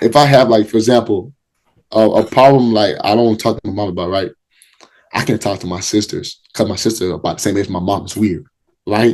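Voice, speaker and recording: Fairly low male pitch with ordinary pitch variation, a man speaking at a fairly quick pace. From Liberia, raised in Minnesota. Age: 20s. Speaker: college football player. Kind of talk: podcast interview. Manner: repetitive, halting starts; casual.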